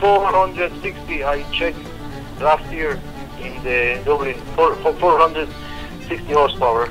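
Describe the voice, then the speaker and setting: Clear music plays in the background as a man speaks at a moderate pace. His pitch is fairly high, and long, frequent pauses break up his speech. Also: ordinary pitch variation. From Poland. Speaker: car seller on the phone. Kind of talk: phone conversation. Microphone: phone line.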